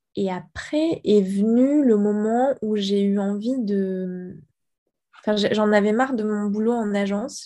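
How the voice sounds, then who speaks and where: Ordinary pitch variation in a woman's voice of medium pitch, its tone dark and mellow. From Guadeloupe. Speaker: ceramicist and architect. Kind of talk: interview.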